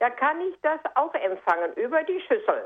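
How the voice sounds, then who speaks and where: A woman's high-pitched voice with very wide pitch swings at a fairly slow pace. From Sauerland, Germany. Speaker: radio listener caller. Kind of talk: phone-in question. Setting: phone call.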